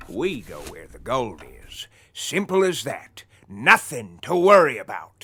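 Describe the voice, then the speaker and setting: Using a put-on character voice, a man sounds raspy at a high pitch. He speaks at a fairly slow pace with big swings in loudness. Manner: mocking.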